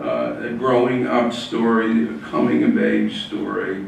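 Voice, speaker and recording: Against noticeable background noise and audible room echo, a man speaks at a very slow pace. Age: 80s+. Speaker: author and civil rights lawyer. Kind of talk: author talk. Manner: hesitant, many fillers.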